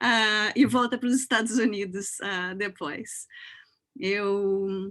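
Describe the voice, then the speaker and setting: Against a quiet background, a woman uses a normal speaking voice at medium pitch with fairly even intonation. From southern Brazil, Porto Alegre. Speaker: professor. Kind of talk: panel discussion introduction.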